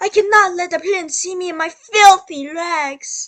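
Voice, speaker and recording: A woman's put-on character voice, extremely high and raised to project, with ordinary pitch variation at a moderate pace. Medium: read story.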